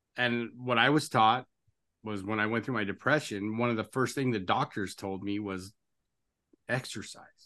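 A man talks at a moderate pace in a bright, sharp tone with fairly even intonation. He leaves long, frequent pauses against a quiet background. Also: medium pitch for a man. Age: 50s. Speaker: podcast host. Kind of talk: interview conversation.

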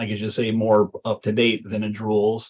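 At a moderate pace, a man with an American accent uses a normal speaking voice at a medium pitch. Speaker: vintage baseball player. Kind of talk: casual interview.

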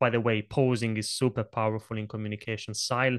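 A man speaks with an Italian accent at a moderate pace. The background is quiet. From Italy. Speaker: presentation coach. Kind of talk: interview conversation.

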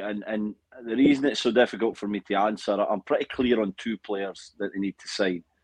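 Here is a man with an ordinary speaking voice, pitched fairly low and moving at a fairly quick pace. His intonation stays fairly even, and the sound is dry and close with no echo. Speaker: former footballer and TV analyst.

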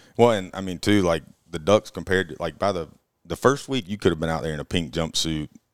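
A man with an Alabama accent and a very deep, low pitch talks at a very fast pace with ordinary pitch variation. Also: dry, close sound with no echo. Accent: Southern US (Alabama). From Alabama, Auburn. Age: 20s. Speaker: hunting guide. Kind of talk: casual chat.

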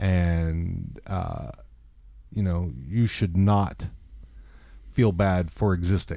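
A speaker with an American accent talks at a very slow pace, leaving long, frequent pauses. The tone is dark and mellow, with ordinary pitch variation. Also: man, very deep, low pitch for a man. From Texas. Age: 50s. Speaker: podcast co-host. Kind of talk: casual chat. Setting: studio.

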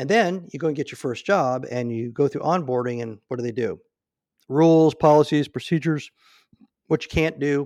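A man with an American accent speaks at a moderate pace and a fairly high pitch, in a plain, everyday voice. His pitch varies in an ordinary way, and the background is quiet. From Nebraska. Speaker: retired navy SEAL and business author. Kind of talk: interview.

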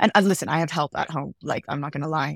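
A woman with an American accent speaks very fast, her very deep, low voice carrying vocal fry. The recording is very clean and dry, close with no echo and a silent background. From California, US. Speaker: television showrunner and executive producer. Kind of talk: casual podcast interview.

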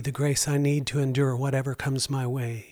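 Fairly high in pitch, a man's voice has a warm tone with monotone, flat intonation. He keeps a moderate pace on a very clean recording with a silent background. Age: 60s. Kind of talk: devotional storytelling monologue. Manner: earnest, warm.

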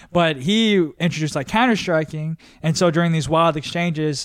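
Recorded very cleanly against a silent background, a man with an American accent uses a normal speaking voice at a moderate pace with ordinary pitch variation. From Texas. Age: 30s. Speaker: comedian. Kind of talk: casual chat.

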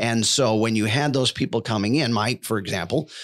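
A man speaks in an American accent at medium pitch and a moderate pace. His is an unremarkable speaking voice with ordinary pitch variation. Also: very clean recording, silent background. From Buffalo, New York. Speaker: voiceover artist. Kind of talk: casual interview. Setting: studio.

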